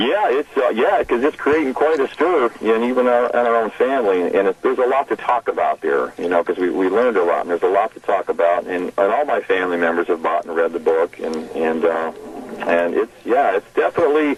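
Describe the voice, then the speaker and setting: Over noticeable background noise, a man with an American accent talks at a fairly quick pace in a dry, close sound with no echo. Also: hardly any pauses. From Arizona (Tempe). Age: 60s. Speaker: author. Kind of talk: radio phone interview. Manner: halting, many fillers and repeats.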